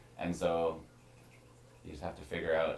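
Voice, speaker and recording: A man's voice is heard with audible echo from the room. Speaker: musician. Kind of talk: casual interview. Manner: fast talker; doesn't enunciate much.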